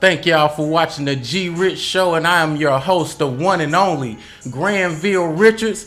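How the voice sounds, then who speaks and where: Amid noticeable background noise and audible room echo, a man talks in an animated tone at a moderate pace with ordinary pitch variation. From US South, Charlotte. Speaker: podcast host. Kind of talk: casual interview chat.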